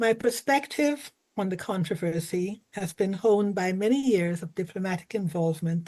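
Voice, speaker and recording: A woman's voice, medium in pitch, comes across as somewhat breathy. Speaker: retired diplomat. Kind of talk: panel presentation. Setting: video call.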